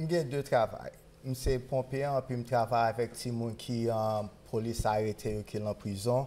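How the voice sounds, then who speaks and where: A man speaks at a moderate pace with a Haitian accent. His pitch is medium and his intonation fairly even. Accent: Haitian accent, kept. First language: Haitian Creole. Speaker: firefighter. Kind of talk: interview. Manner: halting.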